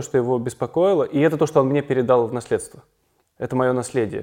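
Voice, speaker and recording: A man with a dark, mellow tone and fairly even intonation. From Kazan, Russia, then Israel from age 10. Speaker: documentary film director. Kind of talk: casual interview. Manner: reflective, with pauses.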